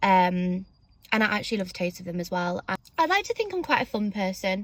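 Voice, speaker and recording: With a somewhat breathy voice, a woman talks at a fairly quick pace. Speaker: beauty vlogger. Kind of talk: casual chat. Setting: in a car.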